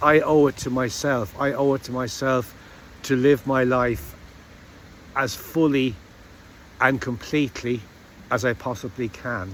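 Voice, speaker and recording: At a fairly slow pace, a man with a British accent talks in a medium pitch with ordinary pitch variation and long, frequent pauses. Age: 60s. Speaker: vlogger. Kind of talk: personal reflective monologue. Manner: halting, with restarts.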